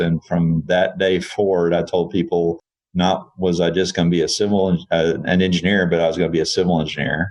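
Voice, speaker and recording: A man with a Texan accent speaks at a moderate pace in a very deep, low pitch. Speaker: engineering firm CEO. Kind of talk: interview.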